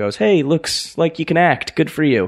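Speaking with an American accent, a man uses an unremarkable speaking voice. His pace is fairly quick and his intonation lively. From Pennsylvania, near Philadelphia. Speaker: actor. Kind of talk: interview Q&A on stage. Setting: stage with audience.

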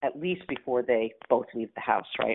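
A woman's intonation is lively, and her pace is moderate. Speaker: futurist and coach. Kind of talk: casual interview chat.

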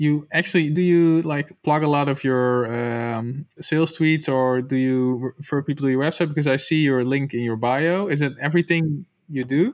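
A man talks at a moderate pace with hardly any pauses. His pitch is fairly high and his intonation fairly even. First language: not English. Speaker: podcast host, company co-founder. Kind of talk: scripted intro; interview.

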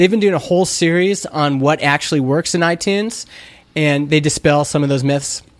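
In a plain, everyday voice, the speaker goes at a fairly quick pace with very even loudness and ordinary pitch variation. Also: man, fairly high pitch for a man. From Canada, Alberta (Stony Plain). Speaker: indie entrepreneur, startup founder. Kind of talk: casual chat.

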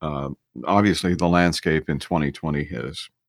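A man speaks with vocal fry, recorded dry and close with no echo. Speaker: podcast host. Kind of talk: casual interview.

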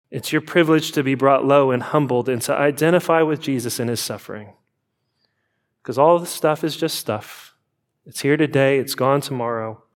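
A man speaks in a normal speaking voice, fairly high-pitched and at a moderate pace. His intonation is fairly even, and the recording is very clean with a silent background. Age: 40s. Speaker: pastor. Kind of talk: sermon.

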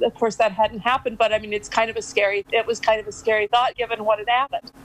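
A woman speaks at a fairly high pitch in a dry, close sound with no echo. Noticeable background noise runs behind her. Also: hardly any pauses. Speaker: caller. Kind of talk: casual chat. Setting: video call.

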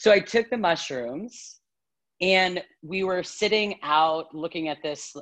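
Ordinary pitch variation marks this woman's voice. Nothing intrudes from the quiet background. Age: 30s. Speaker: yoga teacher. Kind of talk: casual chat. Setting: video call. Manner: laughs a lot.

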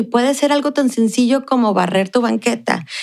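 In a very clean recording with a silent background, a woman with an unremarkable speaking voice talks at a moderate pace with lively intonation. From Ciudad Juárez, Mexico. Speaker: consulate cultural worker and Pilates instructor. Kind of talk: interview.

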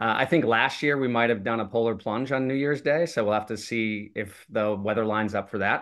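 A man with an American accent talks at a fairly quick pace in an ordinary speaking voice. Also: medium pitch for a man, ordinary pitch variation. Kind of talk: casual chat.

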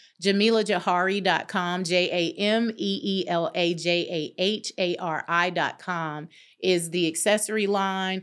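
With a Southern US accent, a woman speaks at medium pitch and a fairly slow pace, with hardly any pauses. Her intonation is fairly even, and the recording is very clean with a silent background. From North Carolina. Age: 50s. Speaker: interior designer and life coach. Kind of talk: casual interview. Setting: studio.

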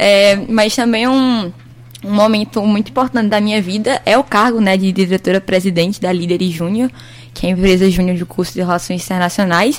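A woman's fairly quick delivery in a normal speaking voice, medium in pitch, with ordinary pitch variation. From Petrolina, Pernambuco, Brazil. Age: 20s. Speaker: university student, junior company president. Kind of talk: radio interview.

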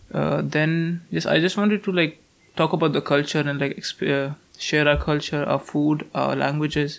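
This man talks at a moderate pace with an Indian accent. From North India. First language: Hindi. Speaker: university student. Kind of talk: casual interview.

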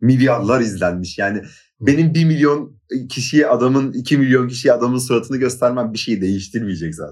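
The man has an ordinary speaking voice with a medium pitch. He keeps a moderate pace and ordinary pitch variation. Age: 20s. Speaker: YouTube content creator. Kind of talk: casual chat.

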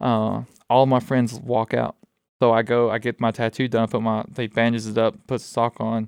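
Flat, monotone delivery from a man with an Alabama accent, medium-pitched at a moderate pace, dry and close with no echo. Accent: Southern US (Alabama). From Alabama, US South. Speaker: student veteran, former Marine. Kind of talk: casual interview chat.

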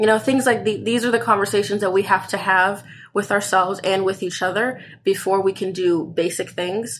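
Here is a woman at a medium pitch, talking at a fairly quick pace. Her intonation is fairly even in an ordinary speaking voice. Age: 20s. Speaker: college student. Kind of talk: casual chat. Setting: in bed at home.

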